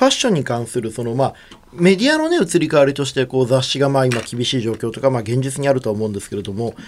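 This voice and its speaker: A man is speaking. His pace is very fast, with noticeable background noise behind him. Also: medium pitch for a man, ordinary pitch variation. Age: 30s. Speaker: radio host and PR creative director. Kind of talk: radio talk show. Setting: radio studio. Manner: casual, chatty.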